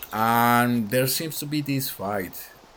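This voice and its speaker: A man with a non-native accent at a fairly slow pace, ordinary pitch variation, audible room echo and music in the background. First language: not English. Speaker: gaming lore youtuber. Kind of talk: casual monologue. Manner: rambling, hesitant with fillers.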